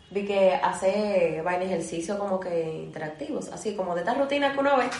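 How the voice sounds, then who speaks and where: A woman with a Dominican accent and lively intonation, amid noticeable background noise and audible room echo. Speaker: podcast co-host. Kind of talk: casual chat.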